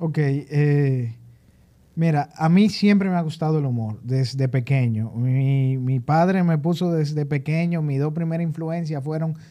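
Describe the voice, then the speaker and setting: This dark, mellow voice moves at a fairly slow pace with ordinary pitch variation. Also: man, fairly high pitch for a man. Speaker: stand-up comedian. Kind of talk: casual chat.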